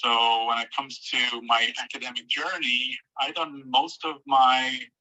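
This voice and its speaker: A man's medium-pitched voice in an Irish accent, with fairly even intonation. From Ireland, Tipperary. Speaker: entomology professor. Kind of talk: lecture. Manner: fast.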